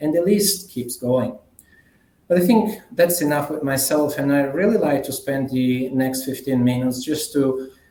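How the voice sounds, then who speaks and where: Noticeable background noise sits behind a man's fairly high pitch. He speaks at a moderate pace with lively intonation. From Italy. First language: Italian. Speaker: management consultant. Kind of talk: conference keynote presentation. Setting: conference plenary session.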